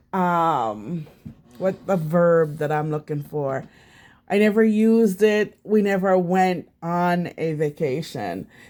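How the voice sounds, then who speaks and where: In a very clean recording with a silent background, a woman with a Jamaican accent speaks at a very slow pace, with a fairly low pitch and lively intonation. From Jamaica, St Thomas parish. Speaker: vlogger. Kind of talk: casual vlog talk. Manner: halting, many fillers.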